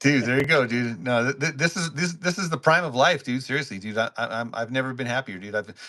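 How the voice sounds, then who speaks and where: Speaking at a very fast pace with hardly any pauses, a man has a medium pitch. His tone is bright and sharp. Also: ordinary pitch variation. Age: 60s. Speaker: podcast host. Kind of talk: casual chat. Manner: stammering, repeats words.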